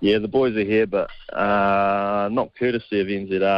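The sound is dry with no echo. A man speaks with a fairly low pitch. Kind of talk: interview answer. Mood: relaxed, laughing.

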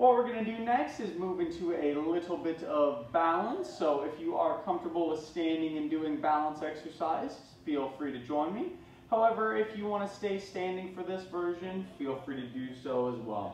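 With light noise in the background and audible room echo, a man talks at a moderate pace with lively intonation. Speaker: fitness instructor. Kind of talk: exercise class instruction. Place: gym. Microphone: camera far.

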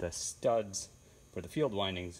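The man speaks with a very deep, low pitch. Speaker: tractor owner. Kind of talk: technical show-and-tell commentary. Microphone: phone near.

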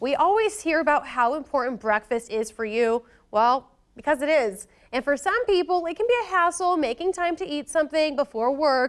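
A woman's high-pitched voice with very wide pitch swings, a moderate pace and a quiet background. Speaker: TV reporter. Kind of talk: news presenter intro. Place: studio.

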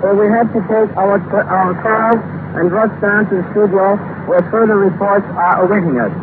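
A man's high-pitched voice at a moderate pace, dry with no echo, over noticeable background noise. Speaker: radio news correspondent reporting live from Munich. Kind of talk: live radio news report. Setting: shortwave transatlantic broadcast, 1930s. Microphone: old recording.

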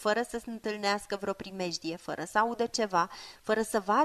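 The speaker is reading aloud. The voice sounds natural.

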